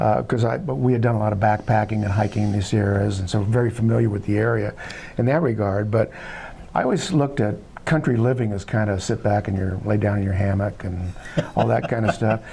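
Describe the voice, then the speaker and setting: Talking at a very fast pace, a man with a fairly low voice and an American accent shows ordinary pitch variation. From Southern California. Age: 70s. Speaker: filmmaker. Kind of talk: interview. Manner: halting, many fillers.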